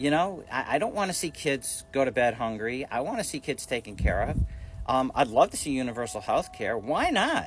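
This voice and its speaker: With music in the background, a man with a fairly high pitch speaks at a fairly quick pace, his voice moving in very wide pitch swings. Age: 60s. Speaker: social media commentator. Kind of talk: casual vlog rant. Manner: halting, repetitive.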